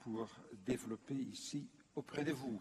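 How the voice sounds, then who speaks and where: This man's voice is somewhat breathy and medium in pitch. He talks at a very slow pace. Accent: non-native. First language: not French (speaking French). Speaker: former UNESCO official, lecturer. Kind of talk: conference lecture. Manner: hesitant, many fillers.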